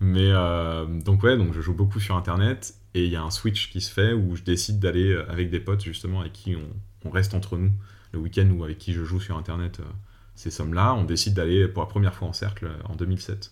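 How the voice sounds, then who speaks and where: A man talks at a fairly quick pace with a very deep, low pitch. His voice is somewhat breathy, with fairly even intonation. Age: 30s. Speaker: former poker dealer. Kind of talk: personal storytelling interview.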